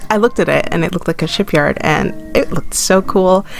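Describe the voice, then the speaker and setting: Music is heard behind the voice. A woman speaks, neither hurried nor slow. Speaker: gaming channel host. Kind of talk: casual game commentary.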